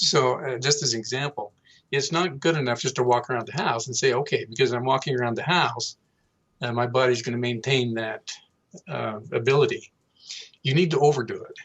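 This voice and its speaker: Using an ordinary speaking voice, a man talks at a medium pitch and a fairly quick pace with ordinary pitch variation. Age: 60s. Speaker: health and nutrition expert. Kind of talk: interview.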